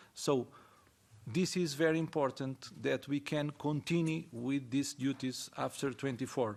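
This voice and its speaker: Against a silent background on a very clean recording, a man speaks with a non-native accent. His fairly high voice keeps fairly even intonation at a fairly slow pace. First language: not English. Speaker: ceramic industry representative. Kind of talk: panel discussion. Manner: halting.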